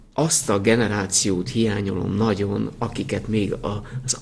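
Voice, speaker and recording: Speaking very slowly in a fairly low voice, a man is heard with audible room echo. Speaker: winemaker. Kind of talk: interview.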